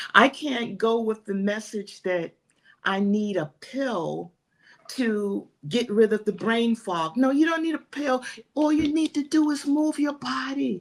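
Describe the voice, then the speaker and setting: Speaking at a fairly slow pace, a woman uses a fairly high pitch with very wide pitch swings. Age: 70s. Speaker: fitness coach for older women. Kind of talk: motivational interview talk. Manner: animated.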